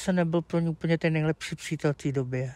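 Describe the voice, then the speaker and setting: A man's dark, mellow voice with fairly even intonation, in a dry sound with no echo and a quiet background. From Czech Republic, Plzeň; Czech Republic. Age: 30s. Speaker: streamer. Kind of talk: interview. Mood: candid, somewhat sheepish. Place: garden. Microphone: lapel.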